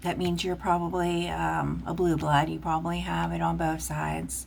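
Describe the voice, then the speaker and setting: The speaker has a Pittsburgh accent and a fairly slow pace. Audible room echo is present. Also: woman. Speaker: tarot reader. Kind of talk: tarot reading.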